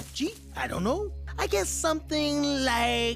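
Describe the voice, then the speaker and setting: A cartoonish character voice speaks at a moderate pace while clear music plays in the background. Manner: goofy, easygoing.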